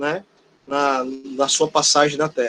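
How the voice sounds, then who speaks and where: The man speaks at a very slow pace, and the sound is dry and close with no echo. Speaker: teacher. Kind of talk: online class lecture.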